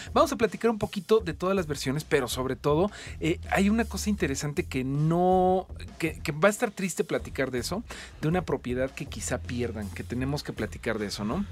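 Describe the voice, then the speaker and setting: With vocal fry and very wide pitch swings, a man speaks fairly quickly in a fairly high voice. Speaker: radio host. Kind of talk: casual chat. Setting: studio.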